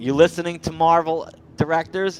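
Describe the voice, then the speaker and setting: This is a man with a fairly high pitch. He talks at a moderate pace. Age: 40s. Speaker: show host. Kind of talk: casual chat. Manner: animated.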